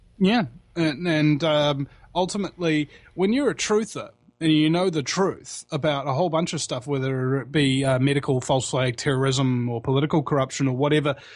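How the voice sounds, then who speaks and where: The speaker has a New Zealand accent and talks at a fairly quick pace with ordinary pitch variation. The background is quiet. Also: man, fairly high pitch for a man. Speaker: internet talk show host and activist. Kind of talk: casual interview chat. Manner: halting, many fillers and repeats.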